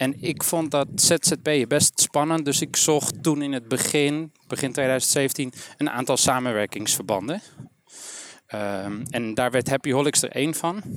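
The recording is very clean with a silent background. A man speaks at a very slow pace, fairly high in pitch with ordinary pitch variation. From Amsterdam, Netherlands. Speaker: trainer-coach, entrepreneur. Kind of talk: casual interview. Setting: walking outdoors in a park.

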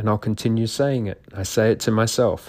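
Fairly even intonation and a moderate pace in an unremarkable speaking voice. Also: man. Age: 50s. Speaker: podcast host and doctor. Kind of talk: solo monologue.

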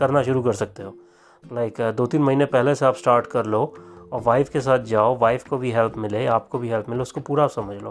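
A man speaks in a plain, everyday voice at medium pitch. His pace is moderate and his pitch varies in an ordinary way. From India. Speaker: podcaster and father. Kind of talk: casual monologue.

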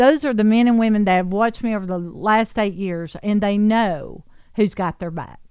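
At a moderate pace and with ordinary pitch variation, a plain, everyday voice comes through on a very clean recording with a silent background. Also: woman, medium pitch for a woman. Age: 50s. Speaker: local politician, candidate for county mayor. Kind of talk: radio interview.

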